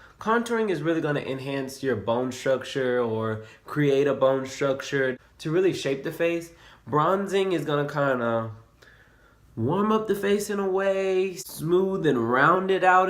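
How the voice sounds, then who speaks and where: A man talks at a fairly high pitch with lively intonation. Audible room echo surrounds his voice. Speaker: beauty vlogger. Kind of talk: makeup tutorial.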